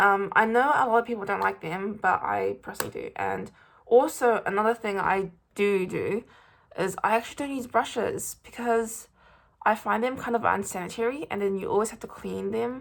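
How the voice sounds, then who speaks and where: A woman with a New Zealand accent speaks at a moderate pace in a very clean recording with a silent background. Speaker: beauty vlogger. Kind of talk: product review and makeup tutorial. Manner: hesitant, many fillers.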